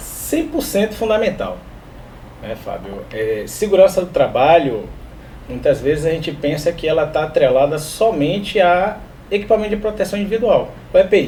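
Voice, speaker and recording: A man with a high pitch and lively intonation talks at a moderate pace over noticeable background noise. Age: 30s. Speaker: work safety specialist. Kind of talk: podcast interview.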